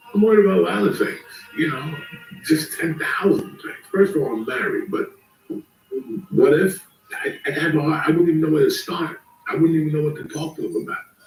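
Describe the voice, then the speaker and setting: A man talks at a fairly quick pace, broken by long, frequent pauses. Music plays in the background. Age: 60s. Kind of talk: casual chat.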